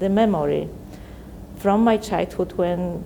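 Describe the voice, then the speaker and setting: Over noticeable background noise, a woman with a Polish accent speaks at a very slow pace with fairly even intonation. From Poland. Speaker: visual artist. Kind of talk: interview monologue about own artwork. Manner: halting, many fillers and restarts.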